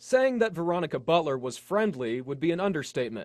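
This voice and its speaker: Against a quiet background, a man with an unremarkable speaking voice talks in a fairly high pitch with lively intonation. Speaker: television news reporter. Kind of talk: broadcast news reporting, on-scene and voiceover.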